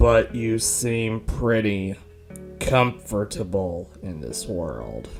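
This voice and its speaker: A man speaks very slowly in a put-on character voice with fairly low pitch. Clear music plays in the background. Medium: audio drama. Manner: calm.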